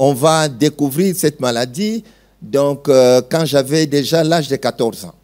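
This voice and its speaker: A man speaks at a moderate pace. There is music behind him. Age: 60s. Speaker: pastor. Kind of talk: testimony.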